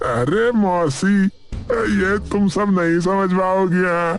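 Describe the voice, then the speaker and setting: Over clear music in the background, a man uses a cartoonish character voice pitched high. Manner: repetitive, chatty.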